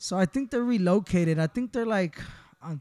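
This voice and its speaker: A man talks in a high pitch with a dark, mellow tone. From Honduras. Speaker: barber and shop owner. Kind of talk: casual interview. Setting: barbershop.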